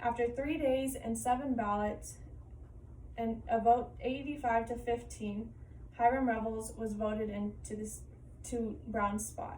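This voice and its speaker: Room echo is audible as a woman speaks at a fairly slow pace. Her voice is fairly high, with fairly even intonation. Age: 20s. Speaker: college student. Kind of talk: class presentation.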